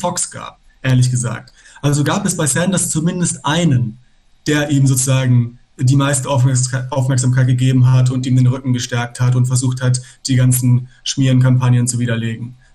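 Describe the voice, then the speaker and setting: A man's medium-pitched, somewhat breathy voice, dark and mellow in tone, at a moderate pace. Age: 30s. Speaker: aspiring lawyer and activist. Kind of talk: casual political discussion.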